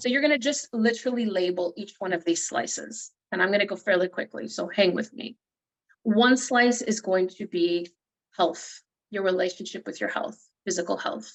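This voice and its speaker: With vocal fry and lively intonation, a woman speaks at a medium pitch. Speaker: motivational speaker and coach. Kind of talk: workshop talk. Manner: fast.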